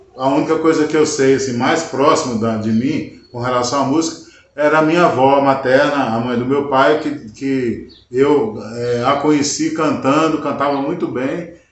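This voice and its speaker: With audible room echo, a man speaks at a moderate pace in a fairly high voice with fairly even intonation. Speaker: country guitarist and singer. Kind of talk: interview. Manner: halting.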